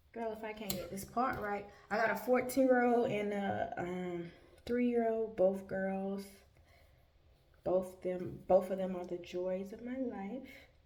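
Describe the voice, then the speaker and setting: Heard with audible room echo, a woman of medium pitch speaks at a fairly slow pace with fairly even intonation and big swings in loudness. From US South, north Florida Panhandle (Tallahassee/Quincy). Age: 30s. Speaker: vlogger. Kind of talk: casual chat. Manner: casual, many fillers.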